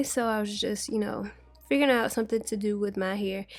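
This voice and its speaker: An unremarkable speaking voice is heard with fairly even intonation. The recording is very clean, and the background is silent. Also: woman. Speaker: beauty YouTuber. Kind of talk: makeup tutorial voiceover.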